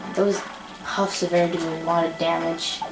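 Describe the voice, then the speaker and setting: A woman with a fairly low pitch and an animated tone, at a fairly slow pace, with audible room echo and music in the background. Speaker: gaming youtuber. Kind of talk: gameplay commentary. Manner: casual, animated.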